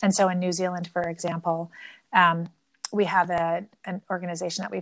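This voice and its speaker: On a very clean recording with a silent background and a dry, close sound with no echo, a woman with a Canadian accent talks at a moderate pace in an unremarkable speaking voice, pitched fairly low. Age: 50s. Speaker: entrepreneur. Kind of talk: interview.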